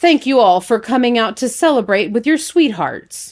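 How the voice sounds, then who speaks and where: A female-sounding put-on character voice, high in pitch, at a moderate pace in a very clean recording with a silent background. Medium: read story. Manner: formal, ceremonial.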